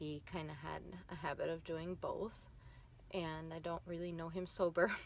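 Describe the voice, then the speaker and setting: Talking at a moderate pace, a woman has a fairly low pitch and a Minnesotan accent. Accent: Minnesota. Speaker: vlogger. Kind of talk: personal vlog testimony. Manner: hesitant, many fillers.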